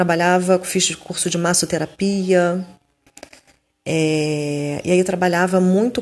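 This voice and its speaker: A woman of medium pitch speaks at a very slow pace. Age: 40s. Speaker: holistic therapist. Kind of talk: personal monologue. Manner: halting.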